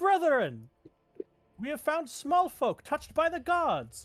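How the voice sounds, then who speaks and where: Someone uses a put-on character voice with a high pitch at a fairly slow pace. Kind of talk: archaic, formal.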